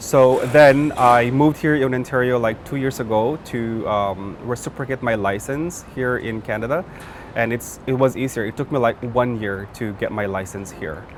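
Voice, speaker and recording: With noticeable background noise, a man speaks at a medium pitch with a Filipino accent. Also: ordinary pitch variation, moderate pace. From Philippines. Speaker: nurse. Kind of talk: interview. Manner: halting.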